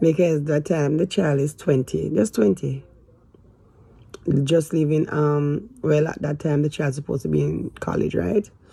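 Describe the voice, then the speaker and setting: The woman's voice is very deep and low, with a dark, mellow tone and a somewhat breathy quality. She talks at a moderate pace with ordinary pitch variation. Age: 50s. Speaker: lifestyle vlogger. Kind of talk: personal vlog confession. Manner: halting, hesitant.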